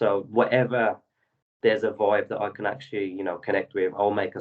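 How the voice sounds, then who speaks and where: Speaking with a London accent, a man talks at a very fast pace. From London, England. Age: 20s. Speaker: rapper and singer-songwriter. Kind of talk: interview.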